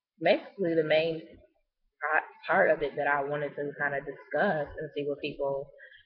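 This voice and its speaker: The speech runs at a moderate pace, broken by long, frequent pauses. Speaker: vlogger. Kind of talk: casual monologue vlog. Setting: public place. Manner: hesitant, many fillers.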